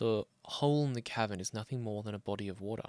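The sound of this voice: With a dry, close sound and no echo, a man speaks at a moderate pace in a fairly low voice with ordinary pitch variation.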